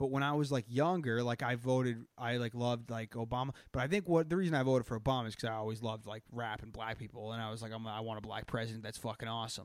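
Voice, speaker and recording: Rattling along at a very fast pace with hardly any pauses, a man with a Boston accent speaks at a medium pitch and with ordinary pitch variation. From Boston area. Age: 20s. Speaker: comedy podcast host. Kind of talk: casual chat. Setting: live stream. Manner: animated.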